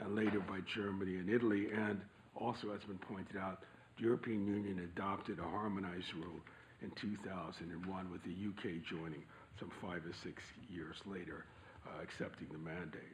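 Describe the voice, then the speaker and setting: A man speaks at a fairly quick pace with a very deep, low pitch. His intonation is fairly even, and room echo is audible. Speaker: panel speaker. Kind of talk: prepared talk. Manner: formal.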